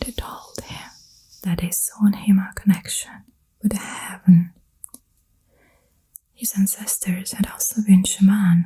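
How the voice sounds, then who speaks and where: Whispering at a fairly slow pace, a woman sounds soft-spoken, with a soothing tone. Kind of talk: book reading aloud, narration. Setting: close-mic ASMR recording, best with headphones. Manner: soft-spoken, whispered, soothing.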